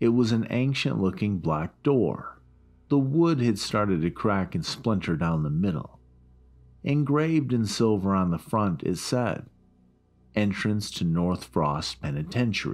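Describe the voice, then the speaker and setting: With music in the background, a man speaks at a fairly low pitch and fairly slow pace, his pitch swinging very widely. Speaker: creepypasta narrator. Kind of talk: scary story narration, first-person horror reading aloud.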